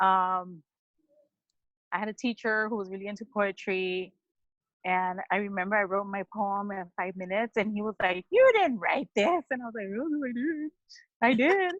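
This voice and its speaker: The woman's medium pitch shows ordinary variation as she talks at a moderate pace. Her voice comes across dry and close, with no echo. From Southeast Los Angeles, Mexican-American. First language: Spanish. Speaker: poet. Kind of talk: interview. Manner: casual, filler-heavy.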